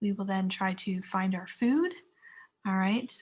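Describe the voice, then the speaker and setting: A woman speaks in a somewhat breathy voice. Her pace is moderate. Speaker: teacher. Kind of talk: lecture.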